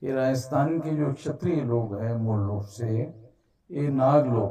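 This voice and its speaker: Somewhat breathy and dark, mellow in tone, a man speaks at a medium pitch with ordinary pitch variation. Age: 60s. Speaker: activist organization leader. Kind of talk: public speech. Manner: formal.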